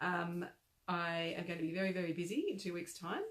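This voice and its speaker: A woman with an Australian accent speaks in a fairly low voice. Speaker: crochet designer. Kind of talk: casual live-stream chat. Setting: live video chat. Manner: animated.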